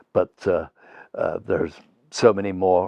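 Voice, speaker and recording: This man speaks with a British accent. His pace is fairly slow. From England. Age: 70s. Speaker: theatre artistic director and actor. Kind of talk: interview reflection. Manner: halting with fillers.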